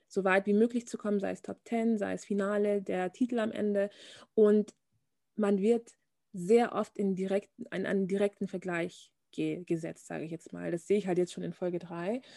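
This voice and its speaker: Over a quiet background, a woman with a dark, mellow tone speaks at a medium pitch and moderate pace with fairly even intonation, in a dry, close sound with no echo. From Bavaria, Germany. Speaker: fashion model. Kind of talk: casual interview chat.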